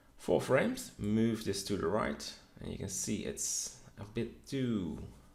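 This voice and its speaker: Audible room echo surrounds a man who speaks at a very slow pace with vocal fry. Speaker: 3D modeling instructor. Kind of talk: tutorial.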